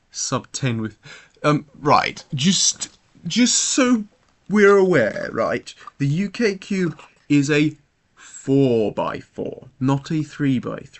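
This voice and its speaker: With a British accent, the speaker goes at a very slow pace while the pitch swings very widely. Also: man, fairly high pitch for a man. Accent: UK. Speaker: speedcuber streamer. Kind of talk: casual live stream chat. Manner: hesitant, repeats words.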